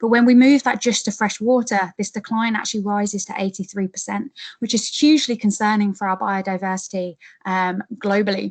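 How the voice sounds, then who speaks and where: A woman with an English accent talks at a medium pitch in a somewhat breathy voice, the sound dry and close with no echo. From England. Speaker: PhD researcher. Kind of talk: webinar presentation. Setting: online webinar. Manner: hesitant, many fillers.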